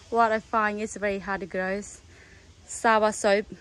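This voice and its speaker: A woman speaks at a very slow pace with a non-native accent. Her pitch sits in the middle range. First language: not English. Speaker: gardening vlogger. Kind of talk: casual video tutorial/garden tour. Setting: outdoors in garden. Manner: halting, enthusiastic, simple grammar.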